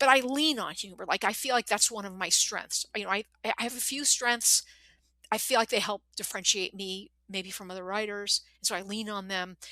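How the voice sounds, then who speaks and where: A woman speaks at a fairly quick pace in an animated tone, her medium pitch showing ordinary variation and her loudness swinging widely. The sound is dry and close with no echo, and her tone is bright and sharp. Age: 60s. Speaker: novelist. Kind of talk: interview conversation.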